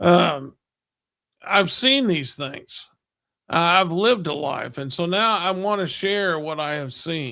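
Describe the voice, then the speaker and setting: A man speaks at a very slow pace in a high voice with a bright, sharp tone and lively intonation. The recording is very clean, with a silent background. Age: 60s. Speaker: church member panelist. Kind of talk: religious discussion program. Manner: halting.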